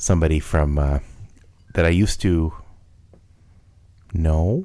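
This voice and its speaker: This voice has a dark, mellow tone and a slight Minnesota accent. It speaks at a fairly slow pace with fairly even intonation. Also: man, very deep, low pitch for a man. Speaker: podcast co-host. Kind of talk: casual chat.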